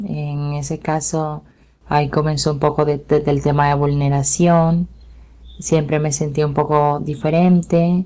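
At a fairly slow pace, a woman speaks with a very deep, low pitch, a dark, mellow tone and monotone, flat intonation. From Colombia, Caribbean coast. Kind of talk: interview testimony. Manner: halting.

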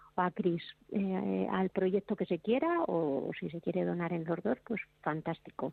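An ordinary speaking voice, a woman's, with lively intonation at a fairly slow pace. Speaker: motorcycle traveler. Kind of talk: casual chat.

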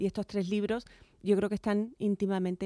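Dark and mellow, a woman's voice comes through a very clean recording with a silent background and a dry, close sound without echo. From Chiclana de la Frontera, Cádiz, Andalusia, Spain. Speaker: journalist and author. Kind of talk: radio interview.

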